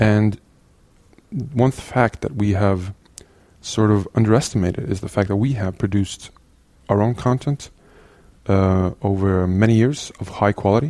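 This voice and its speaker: A man with a Norwegian accent, a dark, mellow tone and ordinary pitch variation. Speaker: CTO of an educational resources organisation. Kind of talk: interview. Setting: in person in Oslo. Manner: halting.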